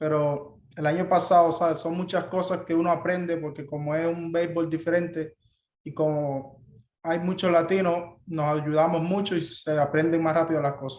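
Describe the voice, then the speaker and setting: A man speaks with a Cuban accent at a fairly quick pace. His pitch is high and his intonation monotone and flat. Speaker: baseball player. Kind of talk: press conference interview.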